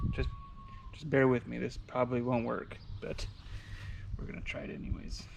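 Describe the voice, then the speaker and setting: Over noticeable background noise, a man mumbles at a fairly quick pace, with long, frequent pauses and big swings in loudness. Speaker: fishing channel host. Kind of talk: tutorial. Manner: mumbling; casual.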